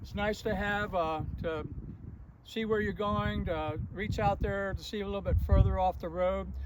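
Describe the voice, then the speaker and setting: A man speaks at a moderate pace with audible room echo and noticeable background noise. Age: 70s. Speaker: off-road vehicle builder. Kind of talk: tutorial. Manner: halting.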